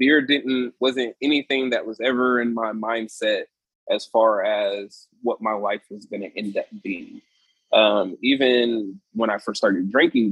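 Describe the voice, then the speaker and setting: A man with an American accent and a normal speaking voice, medium in pitch, at a fairly slow pace with fairly even intonation. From Sacramento area, California. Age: 30s. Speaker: brewery owner. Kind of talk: casual interview.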